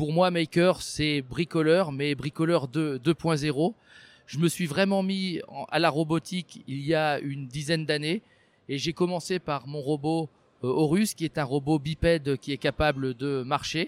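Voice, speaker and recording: A man talks at a very slow pace, his pitch fairly high and his intonation fairly even. The sound is dry and close with no echo, on a very clean recording with a silent background. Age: 50s. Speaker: robotics maker. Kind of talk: interview monologue.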